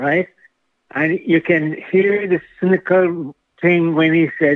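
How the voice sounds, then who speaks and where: The speaker is a man. His pitch is high. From Jamaica. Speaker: caller. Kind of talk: call-in comment. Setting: phone call.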